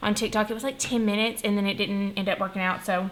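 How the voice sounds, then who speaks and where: A woman speaks with a fairly high pitch. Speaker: budgeting vlogger. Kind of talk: casual tutorial. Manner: soft-spoken.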